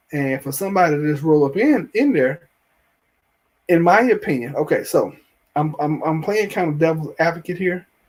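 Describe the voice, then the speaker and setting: On a very clean recording with a silent background, a man with a Southern US accent talks at a moderate pace, high in pitch with ordinary pitch variation. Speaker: TV show reviewer, YouTuber. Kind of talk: live stream show review with chat. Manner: halting, many repeats and fillers.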